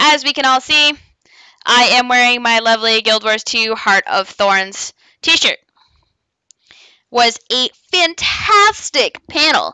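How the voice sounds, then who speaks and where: In a dry, close recording with no echo, a woman speaks very slowly at a high pitch with a bright, sharp tone, lively intonation, very even loudness, and long, frequent pauses. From Canada. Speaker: gaming vlogger and cosplayer. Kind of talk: casual vlog. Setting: bedroom. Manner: casual, many fillers.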